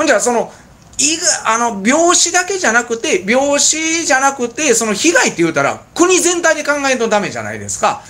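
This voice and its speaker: A man's extremely high, raised and projected voice with lively intonation at a moderate pace. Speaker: bar owner and channel host; channel host. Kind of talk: casual chat. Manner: halting, filler-heavy; laughs often. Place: bar. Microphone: phone near.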